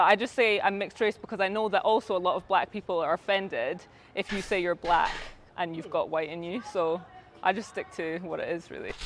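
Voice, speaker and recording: A woman with a Scottish accent speaks at a fairly quick pace with ordinary pitch variation. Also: medium pitch for a woman. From Scotland. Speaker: YouTuber. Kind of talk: interview.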